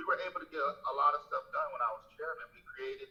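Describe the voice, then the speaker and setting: A man is speaking. He has an American accent. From Philadelphia. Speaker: state legislator. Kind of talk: interview answer. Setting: video call.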